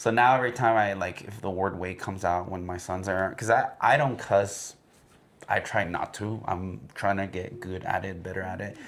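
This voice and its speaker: A man speaks with a fairly low pitch. His intonation is fairly even. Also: moderate pace. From Mexico, Guadalajara. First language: Spanish. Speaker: podcast co-host. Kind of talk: casual chat. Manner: code-switching Spanish and English.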